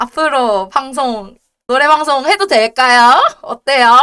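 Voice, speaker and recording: A woman's raised, projected voice, high-pitched, bright and sharp, very slow, with ordinary pitch variation. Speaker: debuting virtual streamer. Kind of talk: casual live stream chat. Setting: live stream. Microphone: headset mic, breath noise crackles.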